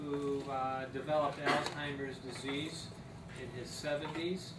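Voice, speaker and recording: A man talking at a very slow pace amid noticeable background noise. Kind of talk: lecture. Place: meeting room. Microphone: camera far.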